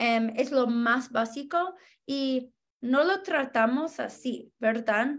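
Here a woman speaks at a high pitch. Her pace is very slow. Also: ordinary pitch variation. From Denver, Colorado, US; Colorado. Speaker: housing organizer; guest. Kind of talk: interview. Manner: halting, frequent um fillers. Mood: earnest, friendly. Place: home room. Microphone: video call.

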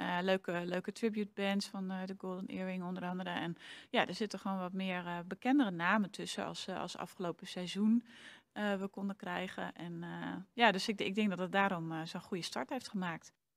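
Her intonation is fairly even. The woman speaks at a moderate pace. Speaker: theater programmer. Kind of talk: interview. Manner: halting. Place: hall. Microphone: handheld.

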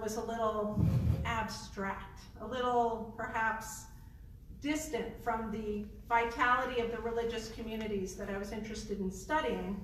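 Noticeable background noise fills the recording. Over it, a woman speaks at a moderate pace. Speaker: professor. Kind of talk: panel presentation. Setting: stage with audience.

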